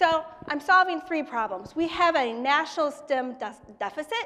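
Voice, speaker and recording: A woman speaks in a raised, projected voice. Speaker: startup founder and children's book author. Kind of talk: pitch presentation. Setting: stage with live audience. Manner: fast.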